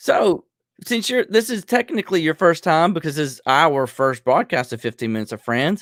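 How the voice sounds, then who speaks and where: Speaking in a Southern US accent at a moderate pace, a man with fairly high pitch uses very wide pitch swings and big swings in loudness, in a very clean, dry, close recording with a silent background and no echo. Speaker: podcast host, reseller. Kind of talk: casual chat.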